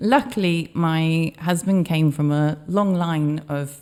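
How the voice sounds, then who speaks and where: A woman with a slight Welsh accent, a very deep, low pitch and a dark, mellow tone, on a very clean recording with a silent background. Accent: slight Welsh twang. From Australia. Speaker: business owner. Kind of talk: interview.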